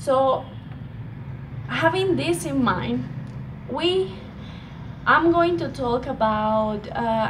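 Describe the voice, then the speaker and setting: Speaking very slowly in a Colombian accent, a woman uses a fairly high pitch and very wide pitch swings, with audible room echo around her. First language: Spanish. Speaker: speaker on women's empowerment. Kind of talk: presentation talk. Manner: halting, many fillers.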